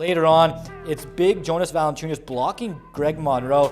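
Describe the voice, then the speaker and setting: With music in the background, a man talks in an upbeat, energetic tone at a fairly high pitch. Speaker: sports anchor. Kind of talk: sports news anchor read.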